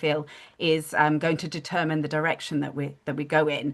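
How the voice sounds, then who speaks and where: Speaking in a British accent, a woman has a very deep, low pitch and a fairly quick pace. Behind her the background is quiet. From United Kingdom. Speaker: digital wellbeing studio founder. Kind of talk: live video-call community discussion. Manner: hesitant fillers.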